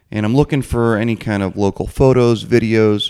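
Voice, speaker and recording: At a fairly quick pace and with ordinary pitch variation, an unremarkable speaking voice comes through on a very clean recording with a silent background. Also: man. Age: 30s. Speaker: podcast host. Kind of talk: casual interview.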